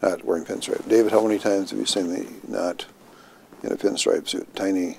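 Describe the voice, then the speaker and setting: A man speaks at a fairly quick pace. The sound is dry with no echo and light background noise. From Minnesota, US Upper Midwest. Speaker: health care executive; interviewee. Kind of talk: oral history interview. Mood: relaxed, amused storytelling. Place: office.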